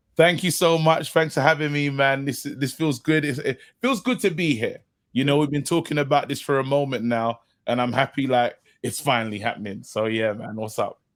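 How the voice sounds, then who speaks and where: A man with a London accent speaks at a fairly quick pace, his pitch fairly high and its variation ordinary. The recording is very clean, with a silent background. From London, Brixton. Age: young. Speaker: comedian and actor. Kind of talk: casual chat. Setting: podcast interview.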